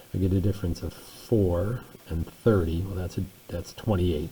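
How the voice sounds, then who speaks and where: Over noticeable background noise, a man speaks at a very deep, low pitch with fairly even intonation. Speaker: math teacher. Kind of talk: tutorial.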